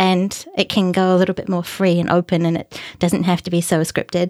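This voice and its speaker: Heard in a dry, close sound with no echo, a woman talks in a New Zealand accent. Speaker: independent podcaster. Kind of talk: casual interview.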